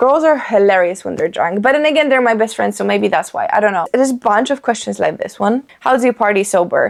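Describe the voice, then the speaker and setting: A woman speaks with a Polish accent in an animated tone. Her pitch is fairly high. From Poland. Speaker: lifestyle vlogger. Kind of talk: casual chat.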